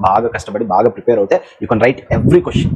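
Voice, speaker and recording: Noticeable background noise runs under the recording. A man speaks at a medium pitch. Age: 20s. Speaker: preacher. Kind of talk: motivational talk to students. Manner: encouraging.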